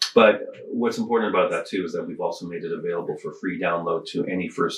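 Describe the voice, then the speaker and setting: A man speaks with a Canadian accent. Noticeable background noise runs behind him. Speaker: high school art teacher and filmmaker. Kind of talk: casual chat. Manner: soft-spoken.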